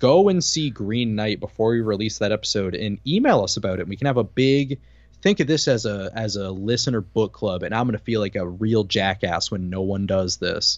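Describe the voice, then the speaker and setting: A man has an unremarkable speaking voice, fairly low in pitch with ordinary pitch variation. He talks at a fairly quick pace. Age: 20s. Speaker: podcast host. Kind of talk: casual chat. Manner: quick-witted, joking.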